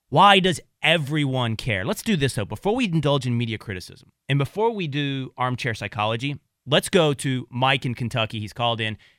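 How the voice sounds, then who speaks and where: A man with an American accent uses a normal speaking voice, a medium pitch and lively intonation at a fairly quick pace. The recording is very clean, with a silent background. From Texas (small town). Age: 30s. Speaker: radio host. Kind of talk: casual chat.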